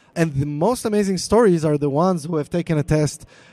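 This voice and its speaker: A man's fairly high voice with a dark, mellow tone, in an Israeli accent. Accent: Hebrew. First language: Hebrew. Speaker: product manager for a DNA company. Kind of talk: live panel interview.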